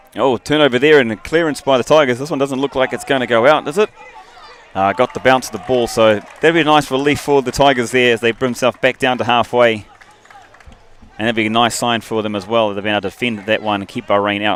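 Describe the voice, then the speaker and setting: Talking very fast with ordinary pitch movement, a man is heard against noticeable background noise. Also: medium pitch for a man. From New Zealand. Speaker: rugby commentator. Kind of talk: live commentary.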